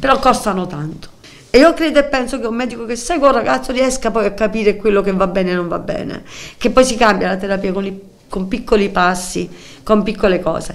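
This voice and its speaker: At a fairly quick pace, a woman with a fairly high pitch talks with lively intonation over noticeable background noise. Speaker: mother of a mentally ill son. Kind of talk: emotional testimony. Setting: TV studio.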